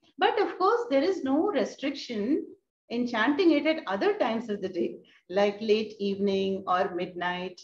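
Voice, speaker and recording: Woman speaking at a fairly slow pace, light background noise and audible room echo. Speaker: spiritual teacher. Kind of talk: lecture. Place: home room. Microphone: video call.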